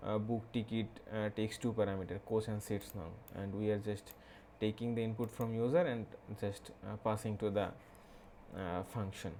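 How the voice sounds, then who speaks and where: With a Bengali accent and a dark, mellow tone, a man speaks at a moderate pace in fairly even intonation, leaving long, frequent pauses. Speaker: programming tutorial creator. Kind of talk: tutorial. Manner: halting, many fillers.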